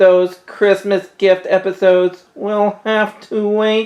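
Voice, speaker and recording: A put-on character voice at a middle pitch, fairly slow, with monotone, flat intonation. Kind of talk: comic sketch acting. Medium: comedy sketch.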